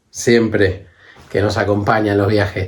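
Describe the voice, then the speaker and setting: A man's somewhat breathy voice at a moderate pace. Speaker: travel vlogger. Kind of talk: vlog monologue.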